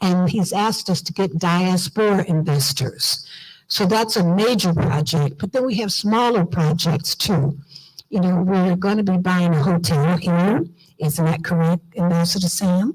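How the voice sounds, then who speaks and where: In an American accent, a woman speaks fairly slowly with a fairly low pitch and a somewhat breathy sound. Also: ordinary pitch variation. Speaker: diaspora organization leader. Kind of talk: conference speech. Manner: animated.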